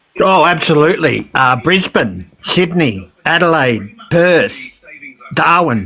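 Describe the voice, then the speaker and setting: A man with an Australian accent, fairly high pitch, very wide pitch swings and a very slow pace. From Queensland, Australia. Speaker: caller. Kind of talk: casual chat.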